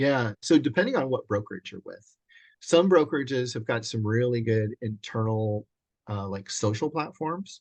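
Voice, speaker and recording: A man uses a normal speaking voice with lively intonation and big swings in loudness at a moderate pace, the sound dry and close with no echo. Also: medium pitch for a man, quiet background. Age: 60s. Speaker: commercial real estate agent and mentor. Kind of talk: casual interview. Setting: video call.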